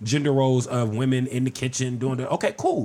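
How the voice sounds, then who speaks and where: At a fairly quick pace, a man talks in a medium pitch with a plain, everyday voice. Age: 50s. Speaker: podcast guest. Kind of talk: casual chat.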